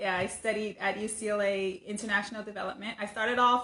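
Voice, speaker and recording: With an American accent, a woman speaks at a moderate pace in a bright, sharp tone, her fairly high pitch held in monotone, flat intonation. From US West Coast, Sacramento, California. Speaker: content creator. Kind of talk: casual monologue. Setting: livestream. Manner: conversational, some stammering.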